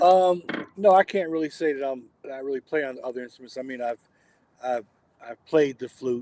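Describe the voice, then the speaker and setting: A man with a fairly high voice and a dark, mellow tone talks at a fairly quick pace with ordinary pitch variation and long, frequent pauses. His loudness swings widely, and the sound is dry and close with no echo. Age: 60s. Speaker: jazz drummer. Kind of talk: casual chat.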